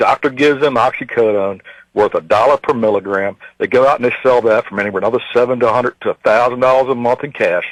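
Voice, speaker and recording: Very fast speech from a man at medium pitch, dry and close with no echo. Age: 50s. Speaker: caller, self-employed construction contractor. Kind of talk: radio call-in rant. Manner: animated.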